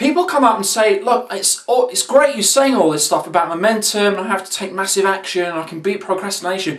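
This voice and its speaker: A man with a high pitch and lively intonation, at a fairly quick pace, over noticeable background noise. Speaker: online video host, motivational speaker. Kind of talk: casual motivational talk to camera. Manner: very fast; animated, energetic.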